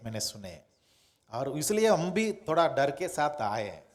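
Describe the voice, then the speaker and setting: A man with a Tamil accent speaks in audible room echo. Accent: Tamil-accented Hindi. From Tamil Nadu, Madurai district. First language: Tamil (speaking Hindi). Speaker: pastor. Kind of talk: sermon. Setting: church. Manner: halting.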